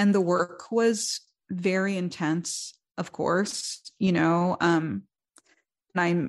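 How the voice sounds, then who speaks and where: A woman speaks in a plain, everyday voice, fairly low in pitch with ordinary pitch variation, over a quiet background. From New York, the Bronx. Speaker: songwriter and musician. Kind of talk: interview conversation.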